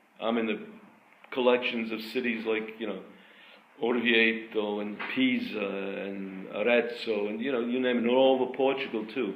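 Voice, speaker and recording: A man speaks at a moderate pace and medium pitch in a monotone, flat intonation. Audible room echo surrounds his voice. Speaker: artist and art school founder. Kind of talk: lecture. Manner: halting.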